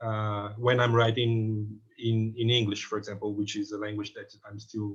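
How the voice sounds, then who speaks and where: In a Portuguese accent, a man with a fairly low pitch talks at a moderate pace, somewhat breathy and monotone, with big swings in loudness. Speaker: film critic. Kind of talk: panel discussion. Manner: halting, many repetitions and fillers.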